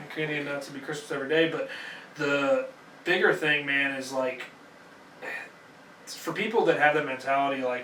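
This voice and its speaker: Amid noticeable background noise and audible room echo, a fairly high-pitched man speaks at a moderate pace with fairly even intonation and long, frequent pauses. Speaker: podcast host and company boss. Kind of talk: casual conversational interview.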